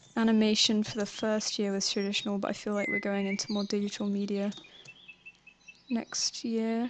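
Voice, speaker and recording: A woman mumbles in a fairly high voice with a southern English accent. Her intonation is monotone and flat, her loudness very even. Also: moderate pace. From southern England. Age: 20s. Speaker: animator and art student. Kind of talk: live stream Q&A. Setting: live stream while drawing. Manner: mumbling; casual, halting.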